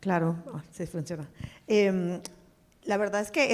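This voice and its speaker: With ordinary pitch variation, this woman's voice stays at a medium pitch. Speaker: venture capital investor and former pharma executive. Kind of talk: panel discussion.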